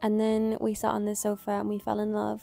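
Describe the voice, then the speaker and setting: A woman talks at a fairly quick pace. Behind her, music can be heard. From Ireland. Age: 20s. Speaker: freelance videographer. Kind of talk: casual talk to camera.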